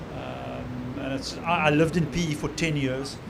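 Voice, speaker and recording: A man's fairly high-pitched, monotone voice with flat intonation, set against noticeable background noise and audible room echo. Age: 60s. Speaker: surfer in construction products. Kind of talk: casual interview.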